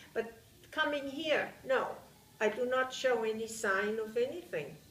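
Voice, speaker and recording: A woman with a Bavarian accent, high-pitched with lively intonation, in audible room echo. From Bavaria, Germany. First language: German. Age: 70s. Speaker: war survivor interviewee. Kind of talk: interview testimony. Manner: halting.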